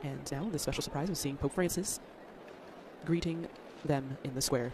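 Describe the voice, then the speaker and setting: Noticeable noise fills the background. The talking moves at a moderate pace. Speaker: broadcast commentator. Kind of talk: live TV event commentary.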